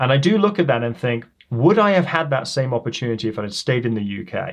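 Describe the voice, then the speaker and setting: Against a quiet background, a man at medium pitch talks at a fairly quick pace. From England, Leicester. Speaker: professor, criminologist. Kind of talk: podcast interview. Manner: posh-sounding.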